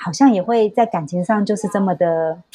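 An ordinary speaking voice, a woman talks at medium pitch with ordinary pitch variation. Her pace is moderate. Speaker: astrology consultant. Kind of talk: casual chat.

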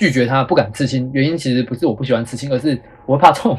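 Against noticeable background noise, a man with a fairly high pitch speaks at a very fast pace. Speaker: schoolteacher and podcast host. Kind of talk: casual chat.

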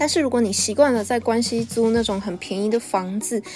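Over noticeable background noise, a woman with a high pitch speaks at a moderate pace in an animated tone. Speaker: podcast host. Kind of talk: solo podcast monologue.

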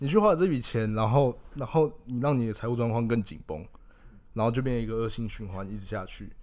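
Here a man has a medium pitch, an ordinary speaking voice, and ordinary pitch variation. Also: fairly quick pace. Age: 20s. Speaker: podcast co-host, freelance marketer. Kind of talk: casual chat.

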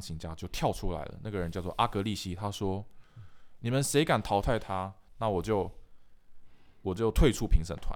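In a very clean recording with a silent background, a man talks at a fairly quick pace in a normal speaking voice, fairly low in pitch with ordinary pitch variation. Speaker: musician and podcast host. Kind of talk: casual chat.

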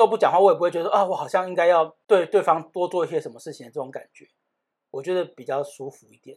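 Someone speaks at a very fast pace with a Taiwanese accent. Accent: Taiwanese Mandarin. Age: 30s. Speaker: podcast co-host. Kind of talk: casual chat.

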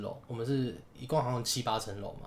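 Talking at a very fast pace, a man at medium pitch sounds somewhat breathy, with fairly even intonation and audible room echo. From Taiwan, Taichung. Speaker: podcast co-host. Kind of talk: casual chat.

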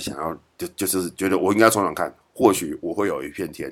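A man speaks with a Taiwanese accent at a fairly quick pace. The recording is very clean, with a silent background. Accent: Taiwanese Mandarin. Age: 40s. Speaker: podcast host. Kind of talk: casual monologue. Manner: halting, many fillers.

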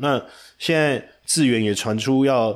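Speaking fairly slowly with a Taiwanese accent, a man at a medium pitch comes through on a very clean recording with a silent background. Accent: Taiwanese Mandarin. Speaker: stock market commentator. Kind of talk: market analysis monologue. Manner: animated.

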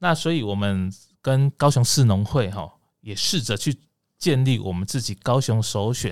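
Over a silent background in a very clean recording, a man of medium pitch speaks at a moderate pace with lively intonation. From Taiwan, Kaohsiung. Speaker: agricultural government official. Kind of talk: interview. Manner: hesitant, many fillers.

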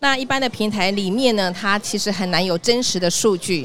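A woman with a Taiwanese accent speaks at a moderate pace. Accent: Taiwanese Mandarin. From Taiwan, Tainan. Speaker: sales director at a health tech company. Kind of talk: live podcast interview. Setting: live podcast at an exhibition hall booth.

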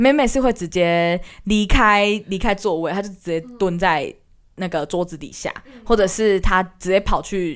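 A woman at a medium pitch and moderate pace, an ordinary speaking voice with ordinary pitch variation, on a very clean recording with a silent background. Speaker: university student, aspiring teacher. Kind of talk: casual chat.

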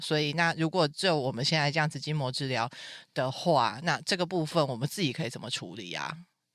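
The tone is animated. The recording is very clean, with a silent background. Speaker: podcast host. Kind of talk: casual interview chat. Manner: animated, loud laughter.

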